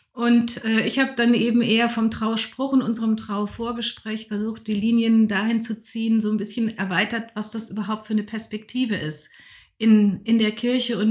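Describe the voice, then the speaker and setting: A woman's somewhat breathy voice in a very clean recording with a silent background. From Lower Rhine region, Germany. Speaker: Protestant pastor. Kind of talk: interview.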